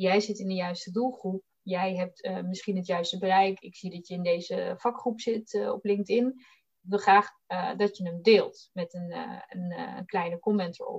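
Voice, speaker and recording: A normal speaking voice from a woman, fairly slow and fairly even in intonation, with big swings in loudness. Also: medium pitch for a woman. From Netherlands, Bollenstreek (South Holland). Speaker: recruiter. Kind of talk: interview.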